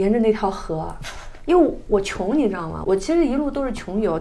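Over noticeable background noise and audible room echo, a woman talks at a moderate pace with very wide pitch swings. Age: middle-aged. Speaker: traveler. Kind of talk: casual chat.

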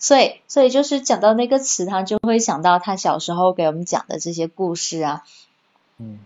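A woman speaks in an unremarkable speaking voice at a fairly low pitch. Her intonation is lively. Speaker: office worker. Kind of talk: casual chat.

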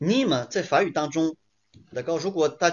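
This man's voice sits fairly high in pitch and moves at a moderate pace. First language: French and Chinese (bilingual) (speaking Chinese). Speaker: French teacher. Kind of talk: online lecture. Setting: livestream. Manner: code-switching French and Chinese.

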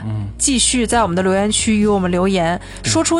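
A woman talks at a fairly quick pace with lively intonation. There is audible room echo and noticeable background noise. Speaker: film podcast host. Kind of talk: casual chat. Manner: loud.

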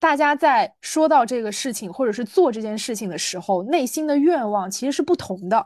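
The speech runs at a fairly quick pace with hardly any pauses, showing very wide pitch swings and big swings in loudness. The background is quiet. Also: woman, high pitch for a woman. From small city in China. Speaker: podcast co-host. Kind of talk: casual chat.

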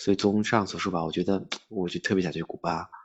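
A man at a fairly quick pace in a monotone, flat intonation. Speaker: traveler. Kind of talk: casual chat.

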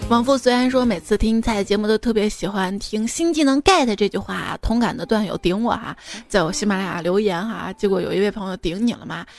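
Over noticeable background noise, a woman speaks at a very fast pace, her fairly high pitch showing ordinary variation. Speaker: radio host. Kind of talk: casual chat. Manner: animated.

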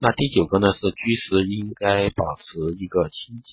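Somewhat breathy, a man speaks at a moderate pace with a fairly low pitch and fairly even intonation. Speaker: beauty and wellness podcast host. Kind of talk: health tips talk. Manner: halting with fillers. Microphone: phone recording.

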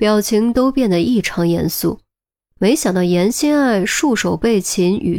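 Quiet background, an unforced reading voice.

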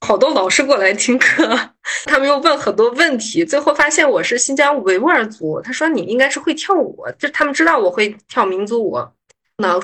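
Very wide pitch swings from a woman speaking at a moderate pace. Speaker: pharmaceutical investment manager. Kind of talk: casual interview chat.

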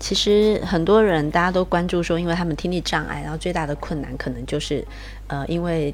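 With audible room echo, a woman speaks at a fairly quick pace. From Taiwan. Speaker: charity founder. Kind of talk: interview.

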